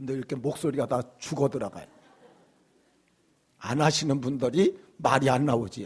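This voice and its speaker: Speaking at a moderate pace with long, frequent pauses, a man has a somewhat breathy, medium-pitched voice and ordinary pitch variation. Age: 60s. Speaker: pastor. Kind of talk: sermon. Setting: church.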